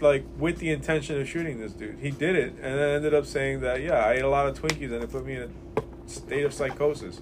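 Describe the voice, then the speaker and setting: There is noticeable background noise. A man speaks over it at a fairly quick pace. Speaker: comic maker. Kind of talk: casual chat. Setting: comic shop. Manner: animated, joking.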